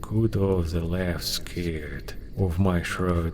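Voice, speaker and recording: Very deep, low male voice in a Russian accent at a very slow pace, amid noticeable background noise. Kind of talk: folk tale audiobook reading.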